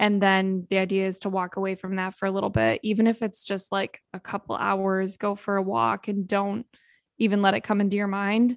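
A woman with an unremarkable speaking voice and a medium pitch talks at a fairly quick pace with fairly even intonation. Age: 20s. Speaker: podcast co-host. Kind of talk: casual chat.

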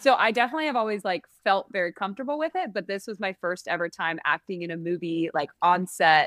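A woman with a normal speaking voice and an American accent talks at a fairly quick pace. Her pitch is medium, with ordinary variation. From San Francisco, US. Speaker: singer and actress. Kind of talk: interview.

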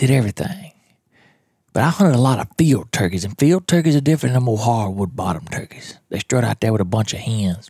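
Quiet and somewhat breathy, a man with a Mississippi accent and a dark, mellow tone talks at a very fast pace with very wide pitch swings, in a dry, close sound with no echo. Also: medium pitch for a man. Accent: Southern US (Mississippi). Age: 40s. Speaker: podcast host, turkey hunter. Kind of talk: casual monologue. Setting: at home in his trailer. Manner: kept down, quieter.

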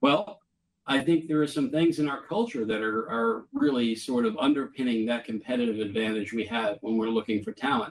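A man with an American accent has a normal speaking voice. His pace is fairly quick, his pitch medium with ordinary variation. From Boston suburbs, Massachusetts. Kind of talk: interview.

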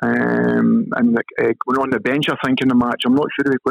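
At a fairly quick pace, a man speaks with a dry, close sound with no echo. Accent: Scottish. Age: 50s. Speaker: former professional footballer. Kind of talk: casual interview.

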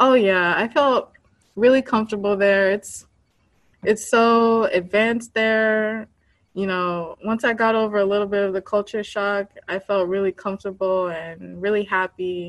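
A woman with an American accent talks at a medium pitch and fairly slow pace, with fairly even intonation, in a plain, everyday voice against a quiet background. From United States, Haitian American family. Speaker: app creator. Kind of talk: interview.

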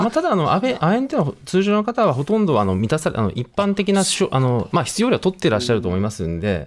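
A man at a fairly high pitch, very fast, with very wide pitch swings and hardly any pauses. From Miyazaki, Japan. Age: 40s. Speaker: neuroscientist. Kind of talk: radio interview.

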